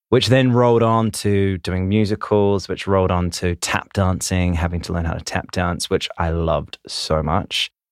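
In a New Zealand accent, a man with a very deep, low pitch speaks at a moderate pace with fairly even intonation, the sound dry and close with no echo on a very clean recording with a silent background. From New Zealand, Christchurch. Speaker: dancer and choreographer. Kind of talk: casual interview chat. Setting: studio.

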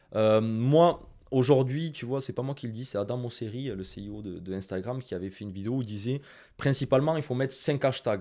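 Very clean and set against a silent background, the recording has a man speaking at a fairly quick pace in a dark, mellow tone with lively intonation. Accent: strong Toulouse. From France, Toulouse. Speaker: Instagram marketing consultant and trainer. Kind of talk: interview. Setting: video studio.

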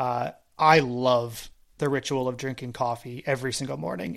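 A man with a normal speaking voice, a medium pitch and a moderate pace, on a very clean recording with a silent background. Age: 30s. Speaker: tennis podcast host. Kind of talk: casual chat.

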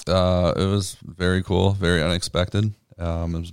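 A man's very deep, low voice in a monotone, flat delivery. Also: very clean recording, silent background. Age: 30s. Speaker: golf professional. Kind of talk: casual chat. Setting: studio.

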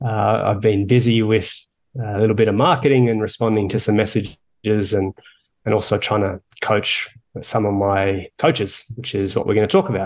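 A man with an Australian accent talks in a fairly low pitch, his intonation fairly even. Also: moderate pace, quiet background. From Australia, Melbourne. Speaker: author and coach. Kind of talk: interview.

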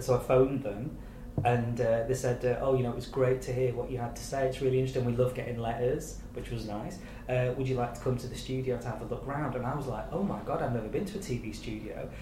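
Fairly quick speech from a man at medium pitch, with fairly even intonation and audible room echo. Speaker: TV executive producer. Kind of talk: casual chat.

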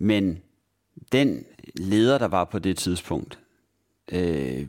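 A man with a very deep, low pitch on a very clean recording with a silent background. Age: 40s. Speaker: blind job consultant. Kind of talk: interview. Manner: halting, many fillers.

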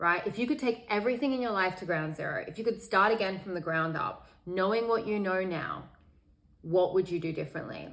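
A woman speaks with an Australian accent at a medium pitch. Her pace is fairly quick, and her pitch variation is ordinary. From Sydney, Australia. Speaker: meditation teacher. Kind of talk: podcast interview.

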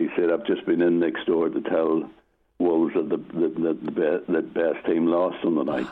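A man at a moderate pace, with very even loudness. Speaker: retired goalkeeper. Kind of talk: interview.

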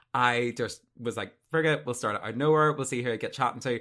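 A man speaks with a Northern Irish accent, his tone bright and sharp. Pitch moves in an ordinary way over a very clean recording with a silent background. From Northern Ireland. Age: 20s. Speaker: podcast interviewer. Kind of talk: casual interview chat.

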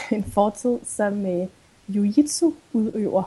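Noticeable noise runs behind a woman whose fairly high voice rises and falls in an ordinary way. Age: 20s. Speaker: sustainability blogger and psychology student. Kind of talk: interview.

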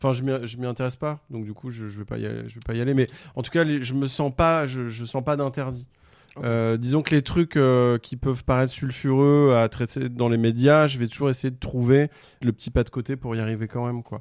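A man with a plain, everyday voice speaks at a moderate pace and medium pitch, with fairly even intonation. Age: 40s. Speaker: comedian. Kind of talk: casual chat.

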